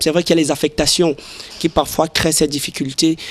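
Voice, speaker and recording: A man with a fairly high voice speaks in a flat monotone over noticeable background noise. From Cameroon, Ocean region. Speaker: interviewee. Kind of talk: vox pop interview. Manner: halting, repeats words.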